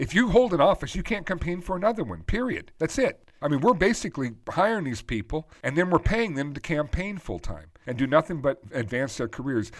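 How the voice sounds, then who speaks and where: Vocal fry, a fairly quick pace and very wide pitch swings. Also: man. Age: 50s. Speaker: financial advisor and podcast host. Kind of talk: solo podcast commentary. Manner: conversational with frequent fillers.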